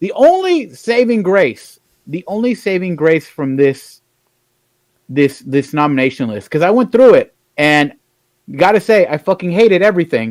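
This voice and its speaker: With very wide pitch swings and a high pitch, a man talks at a moderate pace in a dry, close sound with no echo. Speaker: podcast co-host. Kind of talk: casual chat. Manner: animated.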